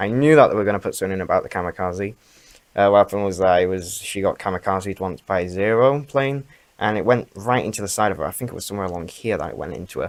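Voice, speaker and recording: The speech is mumbled. It moves at a very fast pace. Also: man, fairly low pitch for a man, ordinary pitch variation. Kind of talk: casual talk to camera. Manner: mumbling.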